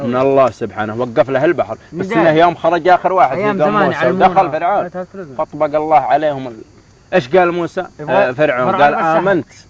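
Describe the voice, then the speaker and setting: Over noticeable background noise, a man with a Yemeni accent speaks at a fairly high pitch with lively intonation. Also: moderate pace. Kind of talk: casual storytelling among friends.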